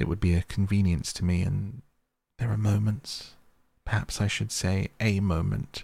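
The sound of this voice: An unforced reading voice with fairly even intonation. The background is quiet.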